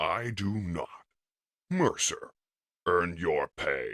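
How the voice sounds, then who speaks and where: Very slowly and at medium pitch, a man performs a put-on character voice in a dry, close sound with no echo. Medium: fan dub. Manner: cold, clipped.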